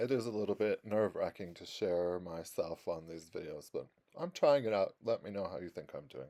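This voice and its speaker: This man has a fairly low, dark and mellow voice, with lively intonation and big swings in loudness. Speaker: greenhouse builder and YouTuber. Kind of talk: casual video tour. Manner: trying to slow down.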